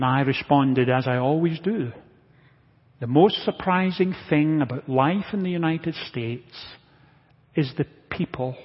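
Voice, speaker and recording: Pausing long and often, a man speaks in a fairly high, somewhat breathy voice with ordinary pitch variation. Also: moderate pace. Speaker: preacher. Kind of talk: sermon. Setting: church.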